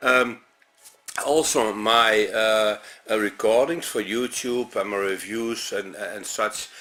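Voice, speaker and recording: The man's pitch is medium. He talks at a very slow pace. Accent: Dutch. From Netherlands. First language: Dutch. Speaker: music reviewer. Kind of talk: unscripted video review. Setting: talking to camera at home. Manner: halting, many fillers.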